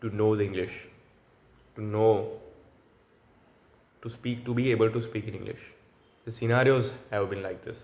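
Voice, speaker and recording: A man with a fairly low pitch speaks at a moderate pace in a monotone, flat intonation that is somewhat breathy. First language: Gujarati. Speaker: language learner vlogger. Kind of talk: solo free-speaking practice monologue. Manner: halting, with self-corrections.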